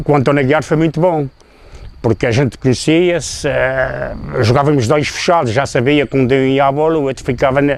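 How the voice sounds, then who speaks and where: Over noticeable background noise, a man speaks with very even loudness and fairly even intonation. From Azores, São Miguel (Povoação). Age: 60s. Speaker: former football player. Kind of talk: interview. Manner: halting.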